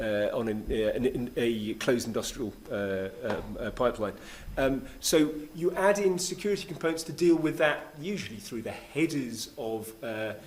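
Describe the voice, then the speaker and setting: A man with a British accent speaks at a fairly high pitch with very wide pitch swings. Audible room echo surrounds his voice. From Great Britain. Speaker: keynote speaker on smart city technology. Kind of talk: conference talk and Q&A. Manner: fast; halting, many fillers and restarts.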